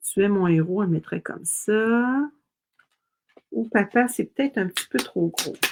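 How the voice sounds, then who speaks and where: At a fairly slow pace with long, frequent pauses, a woman with a Quebec accent talks at a medium pitch with lively intonation, the sound dry and close with no echo. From Quebec, Montreal. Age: 60s. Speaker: craft demonstrator. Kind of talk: live-stream craft tutorial. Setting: live stream. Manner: casual, chatty.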